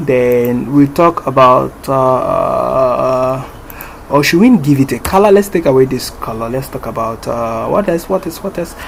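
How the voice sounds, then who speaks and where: Against noticeable background noise, a man speaks at a fairly slow pace with medium pitch and ordinary pitch variation. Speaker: programming tutorial creator. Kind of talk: screen-recorded coding tutorial. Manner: casual with many fillers.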